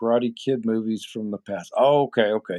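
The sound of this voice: A dark, mellow, nasal tone at a moderate pace, with ordinary pitch variation. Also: man.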